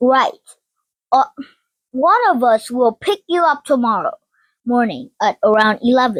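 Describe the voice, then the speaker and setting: A woman puts on a gruff character voice, pitched high, with lively intonation and very even loudness. She speaks at a moderate pace with long, frequent pauses, and the sound is dry and close with no echo. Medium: read story. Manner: gruff, grumbling.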